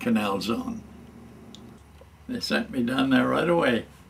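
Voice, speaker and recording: A man speaks with an American accent. Noticeable background noise is audible. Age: 90s. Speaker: war veteran. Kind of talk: oral history interview. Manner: halting, many fillers.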